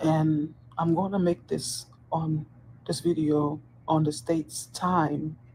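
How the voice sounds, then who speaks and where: A woman with a very deep, low pitch speaks somewhat breathily in a dark, mellow tone. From Dominican Republic. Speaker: corrections officer. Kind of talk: personal video monologue. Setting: at work on a hospital post.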